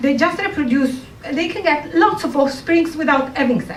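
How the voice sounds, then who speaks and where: Speaking at a moderate pace with an Italian accent, a woman's high voice sounds through noticeable background noise and audible room echo. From Italy. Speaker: comedian and scientist. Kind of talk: stand-up. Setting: stage with audience.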